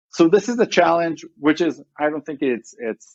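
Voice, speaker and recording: A man with an Israeli accent is heard in a dry, close sound with no echo. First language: Hebrew. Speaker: tech company CEO. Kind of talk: podcast interview. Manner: fast, halting with many restarts.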